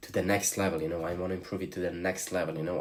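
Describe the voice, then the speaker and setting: A man with a Slavic accent speaks at a very deep, low pitch. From Slovenia. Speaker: streamer. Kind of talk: live stream chat. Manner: animated.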